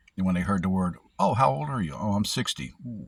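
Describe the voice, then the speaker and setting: Very clean recording, silent background, and a man with a very deep, low pitch. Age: 60s. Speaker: security officer vlogger. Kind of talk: personal vlog monologue. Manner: rambling, halting.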